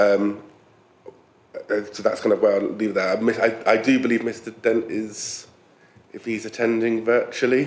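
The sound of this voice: A man speaks at a moderate pace and fairly low pitch with little pitch movement, long, frequent pauses, and audible room echo.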